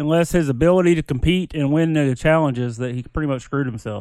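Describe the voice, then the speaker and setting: The pace is fairly quick in an unremarkable speaking voice. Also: man. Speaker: podcast guest. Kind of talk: casual chat.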